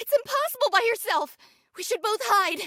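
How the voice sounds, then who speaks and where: In a put-on character voice, a woman squeaks at an extremely high pitch with lively intonation. She keeps a moderate pace, and the sound is dry and close with no echo. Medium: cartoon.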